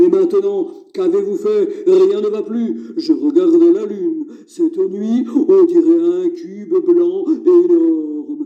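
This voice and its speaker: A cartoonish character voice from a man, extremely high-pitched and fairly slow. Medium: puppet. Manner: exasperated, scolding.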